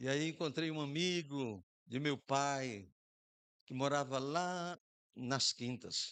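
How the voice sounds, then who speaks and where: A man with a northeastern Brazilian accent speaks at a very slow pace, his pitch fairly high with ordinary variation. He leaves long, frequent pauses against a quiet background. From Brazil, Rio Grande do Norte (Macau). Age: 60s. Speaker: pastor. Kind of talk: sermon.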